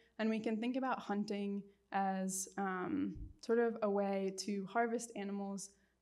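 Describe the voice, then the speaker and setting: In a room with audible echo, a woman speaks fairly slowly at a medium pitch with fairly even intonation. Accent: American. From United States. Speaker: wildlife researcher. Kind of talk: public lecture Q&A. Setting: lecture room with audience and Zoom.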